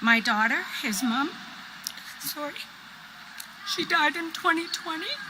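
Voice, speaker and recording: Over noticeable background noise, a woman with a high pitch projects her voice with lively intonation, speaking fairly slowly with long, frequent pauses. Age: 60s. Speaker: grandparent raising grandchild. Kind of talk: personal testimony.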